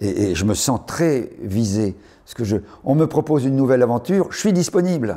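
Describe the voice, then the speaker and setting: A man speaks in an animated tone with very wide pitch swings. His loudness swings widely too. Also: medium pitch for a man. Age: 70s. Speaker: journalist and writer. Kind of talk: interview. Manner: animated, repetitive.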